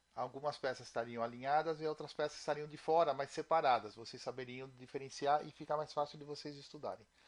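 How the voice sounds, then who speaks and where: A man talks fairly quickly in a plain, everyday voice, fairly high in pitch with ordinary pitch variation. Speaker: programming instructor. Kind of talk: tutorial.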